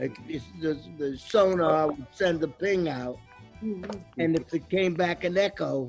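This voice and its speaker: A man's fairly high voice at a very slow pace, with music in the background. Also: ordinary pitch variation. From Brooklyn, New York. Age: 80s+. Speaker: WWII Navy veteran. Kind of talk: casual storytelling while cooking.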